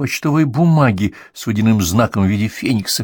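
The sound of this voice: The reading voice here is unforced. Lively intonation colors each line.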